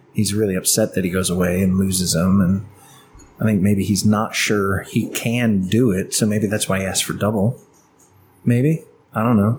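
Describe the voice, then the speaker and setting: In a normal speaking voice, a man talks at a moderate pace with a fairly low pitch, fairly even intonation and very even loudness. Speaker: podcast co-host. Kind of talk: casual banter over beers.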